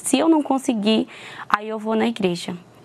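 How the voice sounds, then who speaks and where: A woman's fairly high, lively voice at a fairly quick pace, amid noticeable background noise. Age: 20s. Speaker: churchgoer giving testimony. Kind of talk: testimony.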